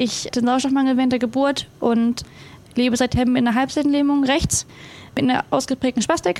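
Speech comes at a fairly quick pace with fairly even intonation. Noticeable background noise sits behind it. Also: woman, high pitch for a woman. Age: 20s. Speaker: para athlete. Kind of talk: casual chat.

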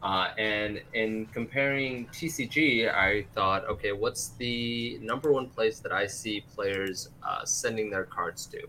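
Noticeable background noise is present. Over it, a man talks. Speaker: market analyst. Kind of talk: casual group discussion.

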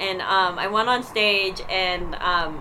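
A woman with a Canadian accent speaks in a medium pitch with ordinary pitch variation. Audible room echo and noticeable background noise surround her. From Canada, Winnipeg, Manitoba. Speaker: comedian. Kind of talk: casual chat. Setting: outdoors. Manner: fast.

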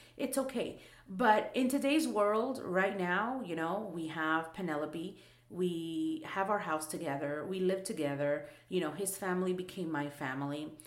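The intonation is lively, at a fairly slow pace. Room echo can be heard. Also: woman, medium pitch for a woman. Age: 30s. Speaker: podcast co-host. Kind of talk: casual chat.

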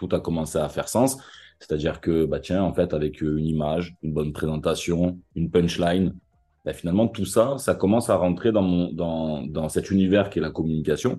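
With a strong Marseille accent, the speaker talks at a moderate pace in a dark, mellow tone with ordinary pitch variation over a quiet background. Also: man, very deep, low pitch for a man. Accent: thick Marseille. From Marseille, southern France. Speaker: advertising copywriter. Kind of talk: interview. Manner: animated.

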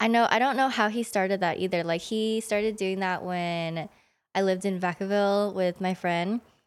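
A woman speaks in a plain, everyday voice at a medium pitch, keeping a moderate pace and fairly even intonation. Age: 20s. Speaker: nurse. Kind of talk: casual chat.

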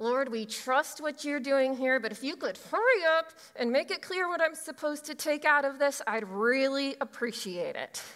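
A woman's put-on character voice, high-pitched and strained, at a moderate pace with hardly any pauses. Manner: through gritted teeth, strained.

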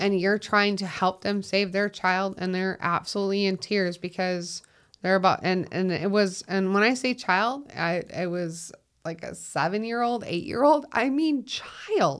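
A woman with a slight Minnesotan accent speaks at a fairly slow pace in an animated tone, with ordinary pitch variation. The recording is very clean, with a silent background. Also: medium pitch for a woman. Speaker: 911 dispatcher. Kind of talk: casual conversation interview. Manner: animated, laughs often.

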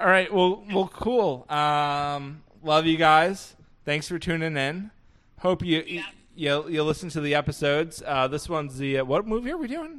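This man has a normal speaking voice at a fairly high pitch. He speaks at a moderate pace with ordinary pitch variation. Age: 20s. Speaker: podcast host. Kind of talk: casual chat.

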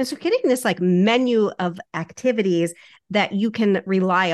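A woman in a normal speaking voice, with ordinary pitch variation, a moderate pace and a quiet background. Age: 50s. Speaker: fitness coach. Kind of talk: casual interview.

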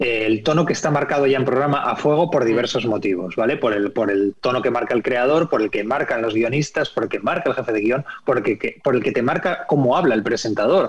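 A man talks at a very fast pace with a medium pitch and ordinary pitch variation. His loudness stays very even over noticeable background noise. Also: hardly any pauses. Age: 40s. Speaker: TV screenwriter and director. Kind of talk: interview.

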